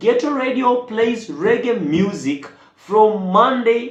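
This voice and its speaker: A man's intonation is lively, and his words carry audible room echo. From Kenya. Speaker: YouTube reaction creator. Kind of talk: casual vlog commentary. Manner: halting, many repetitions and fillers.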